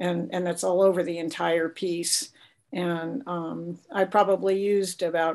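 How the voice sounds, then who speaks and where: A woman's speech shows ordinary pitch variation. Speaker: space artist and quilter. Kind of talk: artist talk. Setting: video call.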